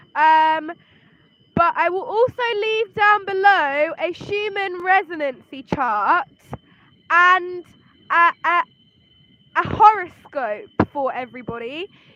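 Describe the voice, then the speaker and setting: Shouting in a raised, projected voice, a woman with an English accent speaks very slowly at an extremely high pitch with lively intonation. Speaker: spiritual reader and astrologer. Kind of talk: live-streamed tarot and astrology reading. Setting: livestream. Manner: loud, shouting over noise.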